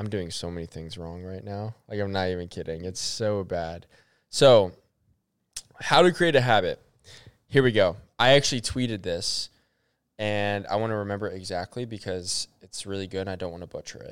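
Over a silent background on a very clean recording, a man with a fairly low pitch talks at a moderate pace, with ordinary pitch variation, big swings in loudness, and long, frequent pauses. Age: 20s. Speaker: podcast co-host. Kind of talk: casual chat.

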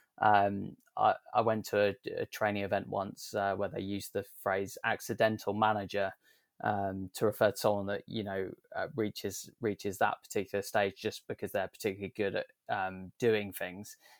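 A man in a southern English accent, dry and close with no echo, on a very clean recording with a silent background. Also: moderate pace. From southern England. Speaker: sustainability consultant. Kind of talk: interview. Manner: hesitant with many fillers.

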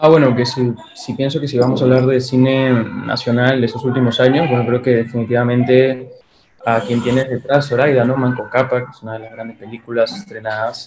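Monotone, flat intonation at a fairly quick pace, with big swings in loudness and noticeable background noise. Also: man, medium pitch for a man. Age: young. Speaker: film critic and filmmaker. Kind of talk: interview.

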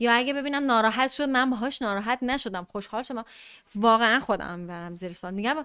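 A woman with a fairly high pitch, a bright, sharp tone, a very fast pace, ordinary pitch variation and big swings in loudness, on a very clean recording with a silent background. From Iran, Tehran. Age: 20s. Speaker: podcast guest. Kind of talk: casual chat.

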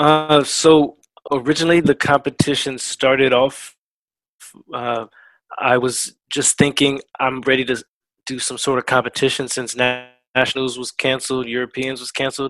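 With long, frequent pauses and flat, monotone intonation, a man of medium pitch talks at a moderate pace, his loudness swinging widely in a dry, close sound with no echo. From Virginia, US. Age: 30s. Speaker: powerlifter and army veteran. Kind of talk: casual interview. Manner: many fillers and repetitions.

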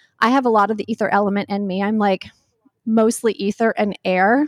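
A woman uses a normal speaking voice at a medium pitch and a fairly quick pace, her intonation fairly even, in a very clean recording with a silent background and a dry, close sound with no echo. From North Carolina. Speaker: author and wellness creator. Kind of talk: interview conversation.

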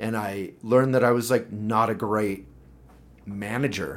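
In an American accent, the speaker uses a normal speaking voice at a fairly slow pace with fairly even intonation. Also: man. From Boulder, Colorado. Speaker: political candidate and publisher. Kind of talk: casual chat. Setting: office.

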